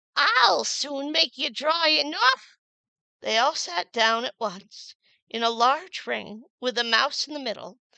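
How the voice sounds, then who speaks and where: Very slow and high-pitched, a woman talks with lively intonation in a dry, close sound with no echo. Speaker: audiobook narrator. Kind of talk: reading aloud; casual chat. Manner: soothing.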